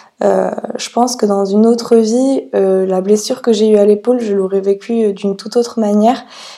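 A woman speaks at a moderate speed in a fairly high, monotone and flat voice, with noticeable noise in the background. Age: 20s. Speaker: yoga teacher and podcaster. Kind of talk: personal storytelling monologue. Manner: hesitant, many fillers.

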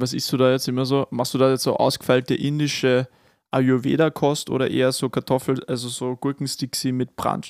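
A man's medium-pitched, monotone, flat delivery at a moderate pace, with a dry, close sound, no echo, and a very clean recording over a silent background. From Upper Austria (Kremsmünster). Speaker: podcast co-host. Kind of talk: casual chat.

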